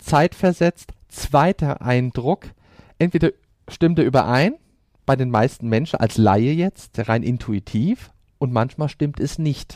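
In a very clean recording with a silent background, a man with an unremarkable speaking voice talks at a fairly slow pace and medium pitch. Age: 40s. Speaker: profiler. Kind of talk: interview.

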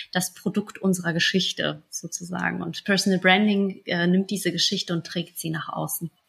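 Heard on a very clean recording with a silent background, a woman speaks at a moderate pace with vocal fry and monotone, flat intonation. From moved to Germany around age five, migrant background. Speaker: business coach and entrepreneur. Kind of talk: interview.

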